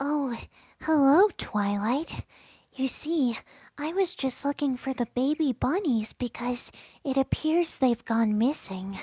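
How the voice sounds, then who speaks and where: Using a put-on character voice, a female-sounding speaker talks at a fairly slow pace with a high pitch for a woman. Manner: soft, timid.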